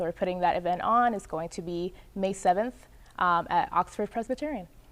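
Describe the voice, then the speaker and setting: A woman with a Spanish accent talks at a fairly quick pace in a medium pitch, her intonation fairly even against a quiet background. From Puerto Rico. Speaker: opera student. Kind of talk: interview. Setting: television studio.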